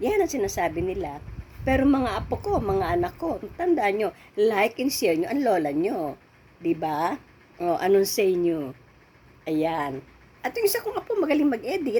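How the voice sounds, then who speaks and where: A woman's medium-pitched, dark and mellow voice at a moderate pace, with very wide pitch swings. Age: 70s. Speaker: vlogger. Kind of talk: casual chat.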